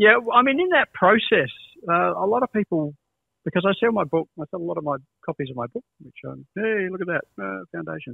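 With an Australian accent, a man talks at a fairly quick pace over a quiet background, his loudness swinging widely. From Adelaide, Australia. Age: 60s. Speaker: music educator and guitarist. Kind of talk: casual chat. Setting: video call. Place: home room.

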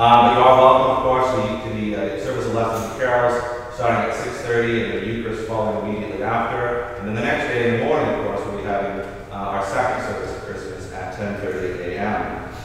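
A man talks at a fairly quick pace with fairly even intonation. Strong room echo and light background noise surround him. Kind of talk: church announcements. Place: church.

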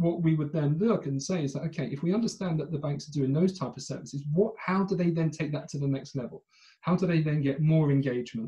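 Speaking very fast with hardly any pauses, a man with a British accent has a dark, mellow tone, a fairly high pitch and ordinary pitch variation against a quiet background. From Britain. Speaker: fintech company director. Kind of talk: interview. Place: home room. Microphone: earbuds.

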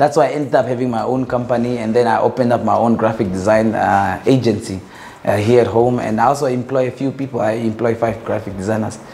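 A man talks very fast, and his intonation stays fairly even. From northern Namibia. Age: young. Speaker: entrepreneur and visual artist; interviewee. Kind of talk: casual interview. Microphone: lapel.

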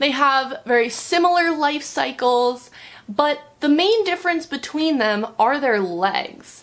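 Her intonation is lively and her pitch high. The woman speaks at a fairly slow pace. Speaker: nature educator. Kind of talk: educational talk for children.

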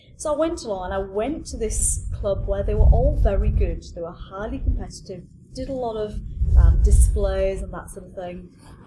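Noticeable background noise runs under the clip. A woman speaks over it at a moderate pace. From northern England. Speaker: fitness coach. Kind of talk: casual chat. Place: garden.

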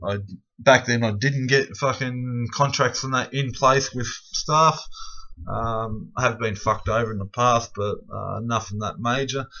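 A man with an Australian accent speaks at a fairly slow pace with fairly even intonation against a quiet background. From Victoria, Australia. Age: 30s. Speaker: self-represented court litigant, vlogger. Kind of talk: angry late-night rant. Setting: late at night, self-recorded video. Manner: aggrieved, swearing heavily, ranting; rambling, filler-heavy. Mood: aggrieved, angry. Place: home room. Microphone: webcam.

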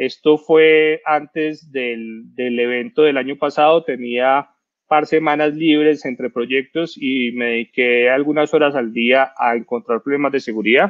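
A man's fairly high, plain, everyday voice, fairly slow and fairly even in intonation, with hardly any pauses. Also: quiet background. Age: 30s. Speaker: cybersecurity expert; presenter. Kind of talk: talk presentation. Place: home room. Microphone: headset.

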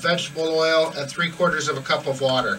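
Light background noise sits under the recording. The speaker is a man. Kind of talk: tutorial. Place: boat. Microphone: camera far.

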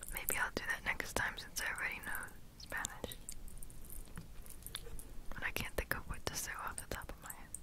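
A woman whispers softly at a moderate pace. The sound is dry with no echo, over noticeable background noise. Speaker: ASMR creator. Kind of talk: whispered ASMR chat. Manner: soft close-mic whisper. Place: home room. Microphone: handheld.

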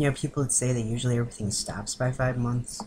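A man talks at a medium pitch, somewhat breathy. Noticeable background noise sits behind him. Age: 20s. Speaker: vlogger documenting gender transition. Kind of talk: casual video diary. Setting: indoors on webcam in girlfriend's room. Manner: giggly, rambling. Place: home room. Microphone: webcam.

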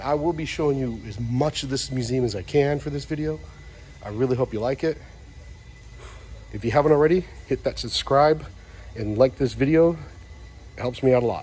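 A man talks fairly quickly, and his pitch varies in an ordinary way. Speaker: museum visitor vlogger. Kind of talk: casual walkthrough commentary. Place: hall. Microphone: phone near.

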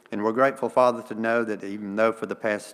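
The man's pitch is fairly low. His intonation stays fairly even. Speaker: church member leading prayer. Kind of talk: prayer. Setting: church. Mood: calm, reverent. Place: church.

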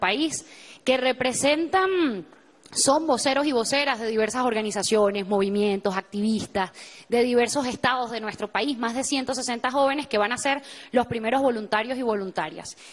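Ordinary pitch variation in a woman's high voice. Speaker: youth organizer. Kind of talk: TV interview. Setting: TV studio.

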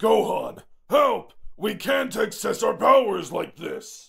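A man puts on a character voice, talking fairly slowly. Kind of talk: comic dub.

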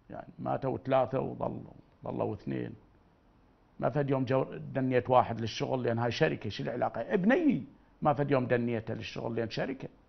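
In an Iraqi accent, a man talks at a moderate pace. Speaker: religious figure; TV guest, speaker. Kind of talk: interview. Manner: animated. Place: studio.

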